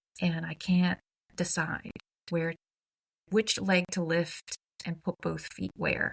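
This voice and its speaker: Somewhat breathy and monotone, with flat intonation, a woman speaks at a very slow pace with long, frequent pauses. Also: dry, close sound with no echo. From Croatia, Dubrovnik. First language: Croatian. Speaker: humanities nonprofit executive. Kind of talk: podcast interview. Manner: conversational with many fillers and restarts.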